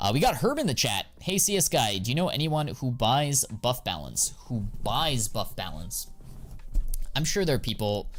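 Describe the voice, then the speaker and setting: A man talks fairly quickly and with lively intonation while music plays in the background. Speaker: CS2 skin investing streamer. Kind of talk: live stream chat. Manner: fast; animated.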